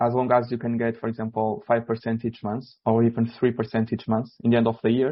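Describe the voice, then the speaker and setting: A man with a non-native accent talks at a fairly quick pace. His medium-pitched voice stays monotone and flat. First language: not English. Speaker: trading educator. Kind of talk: webinar. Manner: halting.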